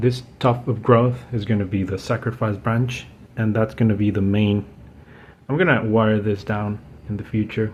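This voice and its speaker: Speaking at a moderate pace with a non-native accent, a man uses a fairly low, somewhat breathy voice, a relaxed tone and fairly even intonation. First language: not English. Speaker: bonsai hobbyist YouTuber. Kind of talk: tutorial. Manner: casual, relaxed.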